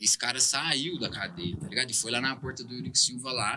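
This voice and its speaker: A man keeps to a moderate pace while noticeable background noise plays behind him. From Uberlândia, Minas Gerais, Brazil. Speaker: rapper. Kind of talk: casual interview chat.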